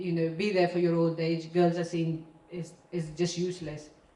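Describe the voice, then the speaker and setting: A woman talks at a moderate speed, and audible room echo can be heard around her. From Pakistan. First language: not English, her third language. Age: 30s. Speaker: property investor. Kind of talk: testimony. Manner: halting.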